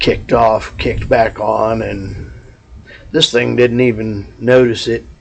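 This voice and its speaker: A man of medium pitch with a Texas accent, at a fairly slow pace. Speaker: vlogger. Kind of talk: casual vlog monologue. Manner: loud.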